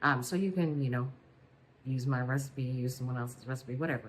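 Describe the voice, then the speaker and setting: A woman speaks quietly with a very deep, low pitch. Her intonation stays fairly even. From Louisiana. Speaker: weight loss vlogger. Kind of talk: casual vlog talk. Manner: quiet, hushed; hesitant with fillers.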